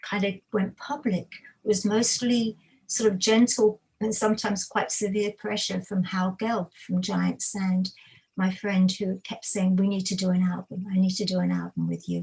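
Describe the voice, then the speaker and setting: This woman's speech moves at an average tempo. A slight breathiness is audible. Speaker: musician and music writer. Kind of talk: casual interview. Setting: livestream video call.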